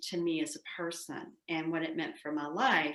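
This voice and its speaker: A woman speaks in a Southern US accent. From US South. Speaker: psychoanalyst. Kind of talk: interview.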